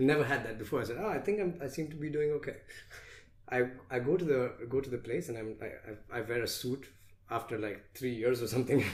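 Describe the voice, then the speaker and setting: Somewhat breathy, a man of medium pitch speaks at a very fast pace. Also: ordinary pitch variation. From India. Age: 20s. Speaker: motivational speaker. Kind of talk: podcast interview. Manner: animated storytelling.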